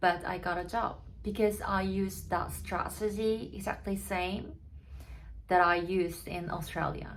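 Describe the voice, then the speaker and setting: In a room with audible echo, a woman with a Korean accent speaks at a fairly slow pace. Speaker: barista and vlogger. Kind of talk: personal story vlog. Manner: halting, with fillers.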